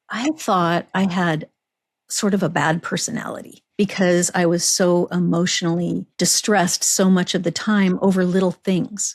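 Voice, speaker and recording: In a dry, close recording with no echo, a woman talks at a moderate pace and medium pitch, her loudness very even and her intonation fairly even, in an ordinary speaking voice. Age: 60s. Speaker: podcast host. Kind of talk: casual chat.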